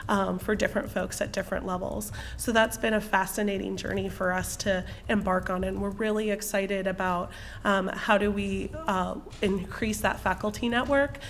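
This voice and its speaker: A woman at a medium pitch, moderate pace and fairly even intonation, with music in the background. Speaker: university student success staff presenter. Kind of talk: presentation.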